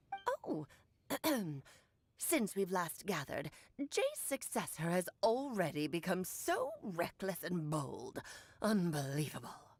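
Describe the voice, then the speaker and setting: In a put-on character voice, a woman talks at medium pitch and a fairly slow pace, with long, frequent pauses. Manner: haughty, scornful.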